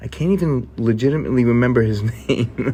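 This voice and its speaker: On a very clean recording with a silent background, a man with a New York accent speaks in an animated tone at a moderate pace. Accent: New York accent, noticeable. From New York, Queens. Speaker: gaming YouTuber. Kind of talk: scripted video commentary.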